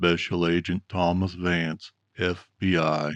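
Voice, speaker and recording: Using a put-on character voice, a man speaks fairly slowly at a very deep, low pitch in a monotone, flat intonation. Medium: read story. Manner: calm, polished, deliberate.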